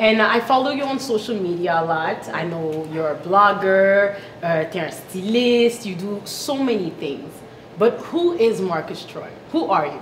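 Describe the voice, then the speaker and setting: In a room with audible echo and noticeable background noise, a woman speaks fairly slowly at a medium pitch with lively intonation. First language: French. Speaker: talk show host. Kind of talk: interview. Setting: studio set.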